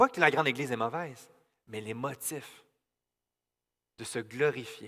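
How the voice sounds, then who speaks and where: The voice is bright and sharp, moving at a fairly slow pace with ordinary pitch variation, big swings in loudness and long, frequent pauses. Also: man, medium pitch for a man. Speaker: pastor. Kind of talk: sermon. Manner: stutter; halting.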